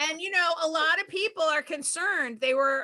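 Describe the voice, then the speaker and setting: A woman with a Boston accent speaks in a raised, projected voice with a bright, sharp tone. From Boston area, Massachusetts. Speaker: stand-up comedian. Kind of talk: stand-up.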